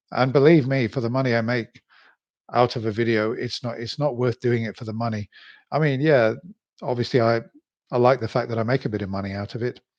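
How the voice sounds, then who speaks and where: Against a quiet background, a man with a medium-pitched voice speaks at a fairly quick pace. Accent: British. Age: 60s. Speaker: YouTuber. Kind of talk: live stream monologue. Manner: halting.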